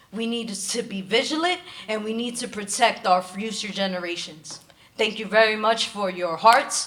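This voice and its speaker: Over noticeable background noise and audible room echo, a woman talks at a moderate pace with a fairly high pitch and ordinary pitch variation. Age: 30s. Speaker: spoken word poet. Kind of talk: interview; poetry performance. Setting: stage with audience.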